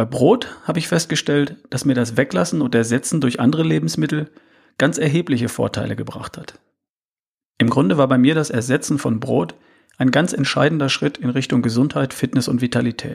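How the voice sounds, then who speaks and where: A man of medium pitch speaks at a moderate pace with lively intonation and some vocal fry. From Ostwestfalen, Germany. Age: 50s. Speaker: health and fitness podcaster. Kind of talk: solo podcast monologue.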